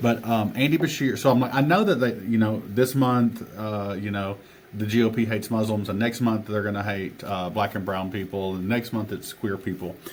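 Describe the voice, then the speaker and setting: This man speaks with an Appalachian accent at a moderate pace. His fairly low voice has ordinary pitch variation. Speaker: teacher and author. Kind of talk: podcast interview answer.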